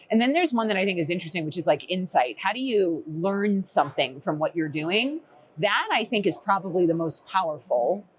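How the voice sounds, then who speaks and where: A woman with an American accent, medium pitch, lively intonation and a fairly quick pace, over noticeable background noise. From Boston. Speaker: recruitment technology executive. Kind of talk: podcast interview. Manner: casual, filler-heavy.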